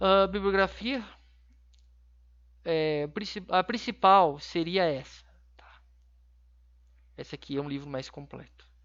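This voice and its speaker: A man's high-pitched voice at a very slow pace, with big swings in loudness, ordinary pitch variation, and long, frequent pauses. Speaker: university lecturer. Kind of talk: online class lecture. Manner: halting, many fillers.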